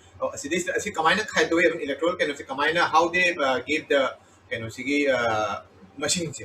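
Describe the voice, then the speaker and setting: A man speaks in a Manipur accent at a fairly quick pace. His pitch is fairly high with ordinary variation, over noticeable background noise. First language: Manipuri. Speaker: interviewer. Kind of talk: interview. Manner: halting.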